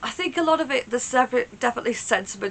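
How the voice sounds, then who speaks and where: A woman talks at a very fast pace with a British accent. Noticeable background noise sits behind her. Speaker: Eurovision reaction YouTuber. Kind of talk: casual reaction talk to camera.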